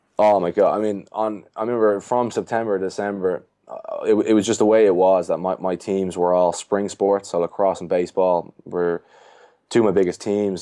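Here a man speaks with a Dublin accent at a very deep, low pitch, his tone dark and mellow. His intonation is fairly even, and the background is quiet. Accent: Irish (Dublin). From Ireland, Dublin. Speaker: strength and conditioning coach. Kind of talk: casual chat.

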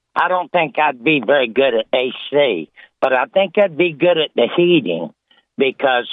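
Speaking at a moderate pace with lively intonation, a man has a fairly high pitch and an unremarkable speaking voice. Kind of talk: joke telling. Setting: phone call.

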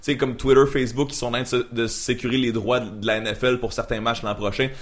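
Medium in pitch, this man has an ordinary speaking voice with fairly even intonation. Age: 20s. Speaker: freelance media creator and voice performer. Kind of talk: casual chat.

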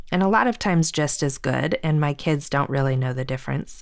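With a very deep, low pitch and ordinary pitch variation, a woman speaks at a fairly quick pace in an American accent on a very clean recording with a silent background. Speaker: podcast co-host. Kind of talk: casual chat.

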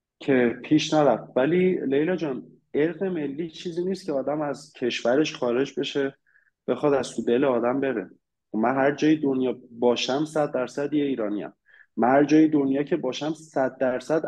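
A man's fairly high voice has a dark, mellow tone and ordinary pitch variation. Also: moderate pace. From Iran. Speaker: immigrant sharing experience. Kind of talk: casual interview chat.

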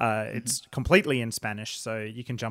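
On a very clean recording with a silent background, a man talks in a normal speaking voice at a fairly low pitch, keeping fairly even intonation and a fairly quick pace. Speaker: podcast host. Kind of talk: casual chat.

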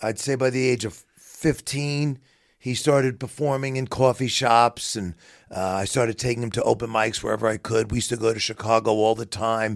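Using a strong New York accent, a man with a medium-pitched voice speaks at a moderate pace and fairly even intonation. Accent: heavy New York. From New York City, Queens. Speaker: bereaved father, business owner. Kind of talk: interview, personal testimony.

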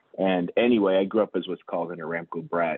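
A man speaks with an American accent at a fairly quick pace. His pitch is very deep and low, and his intonation is fairly even. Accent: sounds fully American. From Houston and Saudi Arabia. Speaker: vascular surgeon and hospital executive. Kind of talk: interview. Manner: hesitant, many fillers.

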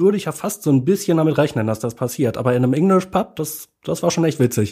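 A man at a very fast pace, somewhat breathy, with lively intonation and a dark, mellow tone. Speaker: podcast co-host. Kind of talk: casual chat. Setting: improvised studio in a hotel room.

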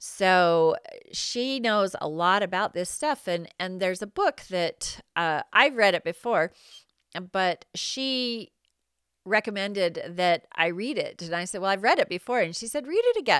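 An ordinary speaking voice from a woman, medium in pitch with lively intonation, at a fairly slow pace, in a dry, close sound with no echo. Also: very clean recording, silent background. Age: 50s. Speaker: therapist and podcast host. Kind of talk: monologue.

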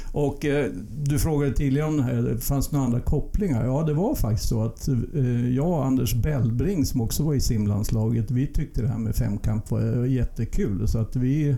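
At a moderate pace and very even loudness, a man speaks at medium pitch with ordinary pitch variation in a plain, everyday voice. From Sweden, Uppsala then Umeå from age 11. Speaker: Olympic medallist, modern pentathlete. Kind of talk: interview.

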